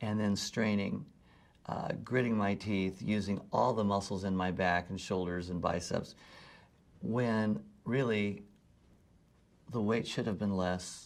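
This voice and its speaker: Over a silent background in a very clean recording, a man with a fairly low pitch and fairly even intonation talks at a fairly slow pace, taking long, frequent pauses. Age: 60s. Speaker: personal training client. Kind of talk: testimonial interview.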